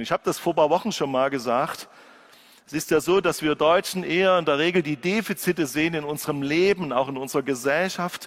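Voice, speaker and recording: Ordinary pitch variation and a fairly quick pace in an unremarkable speaking voice, a man's, pitched fairly high. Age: 50s. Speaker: pastor. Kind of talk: sermon.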